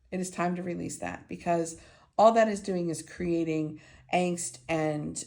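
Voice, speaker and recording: A woman's fairly low-pitched voice with audible room echo. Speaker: intuitive energy healer. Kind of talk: tarot-style divination reading. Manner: halting, many fillers.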